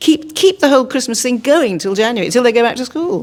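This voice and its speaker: The speaker goes at a very fast pace with a warm tone and very wide pitch swings. Noticeable background noise can be heard. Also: woman. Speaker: actress. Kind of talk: interview answer. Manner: warm, chatty.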